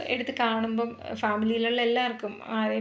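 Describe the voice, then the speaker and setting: A woman's fairly high voice amid audible room echo. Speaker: vlogger. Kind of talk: casual vlog narration. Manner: animated.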